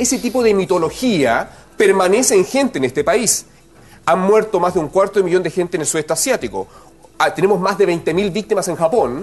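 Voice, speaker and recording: With noticeable background noise behind him, a man speaks at a fairly quick pace in a high pitch with lively intonation. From Chile. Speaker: geographer. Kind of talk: explanatory TV interview.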